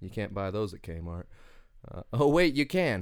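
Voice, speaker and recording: With a Kentucky accent, a man speaks at a moderate pace in a fairly low pitch on a very clean recording with a silent background. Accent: Kentucky Southern. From Kentucky (Winchester). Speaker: comedian. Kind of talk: casual interview chat. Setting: studio. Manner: halting, many fillers.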